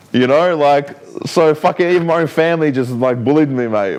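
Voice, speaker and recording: A man talks with an Australian accent. He keeps a moderate pace. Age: 30s. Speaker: professional fighter. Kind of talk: podcast interview. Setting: studio. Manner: sometimes slurs words.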